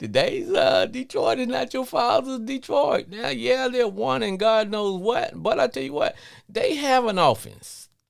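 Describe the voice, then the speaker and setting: Speaking at a fairly slow pace, the man has a slight Louisiana accent. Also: hardly any pauses. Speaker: sports podcast host. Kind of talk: live call-in show monologue. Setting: live stream.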